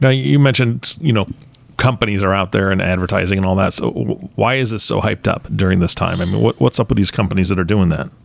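Lively intonation marks speech delivered at a very fast pace. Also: man, fairly low pitch for a man. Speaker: co-host interviewer. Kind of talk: casual interview.

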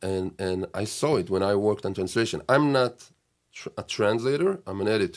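A man with an Israeli accent, fairly low in pitch, at a moderate pace and with lively intonation, on a very clean recording with a silent background. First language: Hebrew. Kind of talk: casual chat. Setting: studio.

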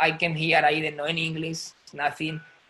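Speaking fairly quickly with a Spanish accent, this man has a fairly high pitch and a bright, sharp tone. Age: 30s. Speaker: ballet dancer. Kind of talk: casual chat. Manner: halting.

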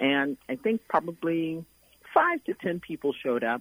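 A woman speaks with an American accent at a moderate pace. The sound is dry and close, with no echo. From Brooklyn, New York. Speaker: nonprofit executive. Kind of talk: radio interview.

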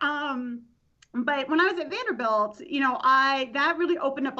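A woman talks at a fairly quick pace with an American accent. Her tone is bright and sharp, and her intonation is lively. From Tampa, Florida. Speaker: professor of literacy education. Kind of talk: casual interview chat.

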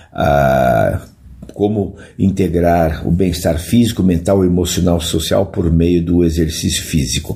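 Over noticeable background noise and audible room echo, a man speaks at a fairly slow pace in a very deep, low pitch, with ordinary pitch variation and very even loudness. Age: 70s. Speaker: physical education professor. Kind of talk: interview.

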